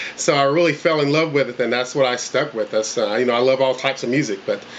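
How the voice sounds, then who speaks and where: A man speaks at a very fast pace with a medium pitch. His intonation stays fairly even over noticeable background noise. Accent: Southern US. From North Carolina (Coats, small town). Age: 40s. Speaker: country singer auditioning. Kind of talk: casting interview. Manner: halting, many fillers.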